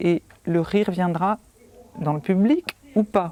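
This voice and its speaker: Over a silent background in a very clean recording, a woman with a dark, mellow tone and medium pitch speaks at a very slow pace with lively intonation. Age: 60s. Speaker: clown teacher and actress. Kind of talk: interview testimony.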